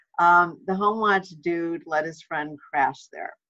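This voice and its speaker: Over a quiet background, a woman with a fairly low pitch and ordinary pitch variation talks at a very slow pace. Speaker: home watch trainer. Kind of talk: webinar presentation. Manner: casual, chatty. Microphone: webcam.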